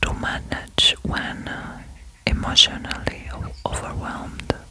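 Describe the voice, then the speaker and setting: Calm, very slow whispering over noticeable background noise. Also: woman. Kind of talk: ASMR whispered reflection. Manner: whispered, soft, sweet; calm, slow, relaxing.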